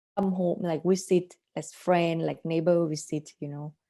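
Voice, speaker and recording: This woman speaks with a Thai accent at a fairly slow pace. Her voice is fairly low in pitch, with a dark, mellow tone. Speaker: artist. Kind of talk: interview. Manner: halting.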